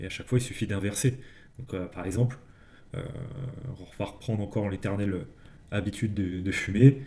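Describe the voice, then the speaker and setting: At a moderate pace, a man with a dark, mellow, somewhat breathy tone speaks with fairly even intonation, big swings in loudness, and long, frequent pauses. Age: 30s. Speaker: podcast co-host discussing non-fiction books. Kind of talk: casual chat.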